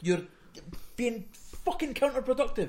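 A man speaks at a moderate pace with a Fife accent. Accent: Scottish, Fife. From Scotland, Fife. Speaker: podcast co-host. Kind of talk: casual chat. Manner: mumbling, barely moves mouth.

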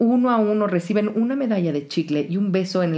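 With ordinary pitch variation, the voice reads aloud in a natural way.

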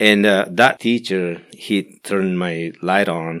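A man's fairly low voice at a fairly slow pace on a very clean recording with a silent background. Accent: Spanish. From Guatemala. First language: Spanish. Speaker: pastor. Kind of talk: interview testimony. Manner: halting.

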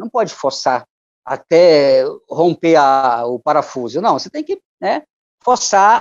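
The audio is dry and close, lacking any echo. A male voice speaks. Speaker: musician and poet. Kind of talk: interview.

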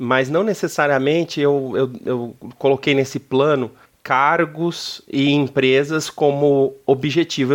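A man with an unremarkable speaking voice and a fairly high pitch speaks at a fairly slow pace against a quiet background. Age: 30s. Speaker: business executive. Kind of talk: interview. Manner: casual.

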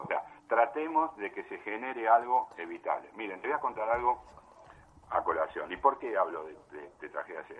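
A man at a moderate pace, with big swings in loudness over noticeable background noise. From Buenos Aires, Argentina. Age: 60s. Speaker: amateur cyclist, member of a cycling association. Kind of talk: interview. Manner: halting, with many repetitions.

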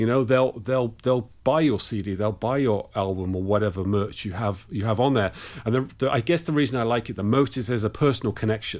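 Talking at a fairly quick pace with hardly any pauses, a man with an English accent uses a medium pitch and ordinary pitch variation. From England. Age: 50s. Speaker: rock musician and guitarist. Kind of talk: interview.

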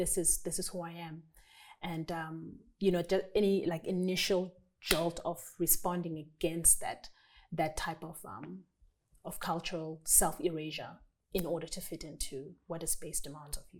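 The woman's voice sits fairly low in pitch. Her intonation is monotone and flat, at a moderate pace. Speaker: podcast host. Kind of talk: reflective discussion with faith talk. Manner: reflective, with frequent fillers.

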